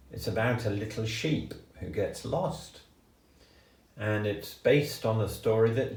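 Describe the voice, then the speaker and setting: Through noticeable background noise, a man speaks at a medium pitch and very slow pace in a gentle, warm tone. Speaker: grandfather storyteller. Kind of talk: children's story reading.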